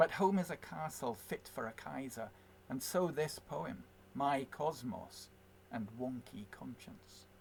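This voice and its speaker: A man with a Scottish accent at a very slow pace, with vocal fry and very wide pitch swings. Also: medium pitch for a man, big swings in loudness. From Scotland, west. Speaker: poet. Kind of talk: poetry reading; spoken introduction.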